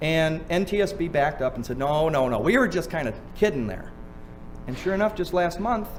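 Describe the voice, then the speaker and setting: With audible room echo, a man speaks at a fairly high pitch with lively intonation. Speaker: seminar speaker on drunk driving law. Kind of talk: seminar lecture. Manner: fast; animated.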